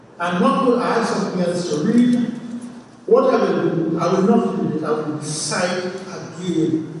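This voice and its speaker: A man speaks in a high pitch. Strong room echo surrounds him, with light background noise. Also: ordinary pitch variation, moderate pace. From Trinidad. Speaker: professor. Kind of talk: lecture. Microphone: camera far.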